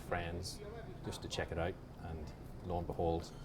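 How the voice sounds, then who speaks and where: Speaking fairly quickly with a Northern Irish accent, a man is heard amid noticeable background noise and audible room echo. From Northern Ireland, Belfast. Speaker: author. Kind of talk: casual interview over a drink. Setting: pub. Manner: hesitant, many ums.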